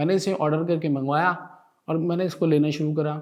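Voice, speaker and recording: Monotone, flat intonation marks this man's fairly high-pitched voice. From Bihar, India. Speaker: lecturer giving product testimonial. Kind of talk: testimonial.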